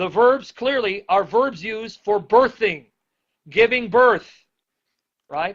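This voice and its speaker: Speaking at a fairly slow pace, a man with a high-pitched voice sounds animated. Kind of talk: bible teaching. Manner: loud.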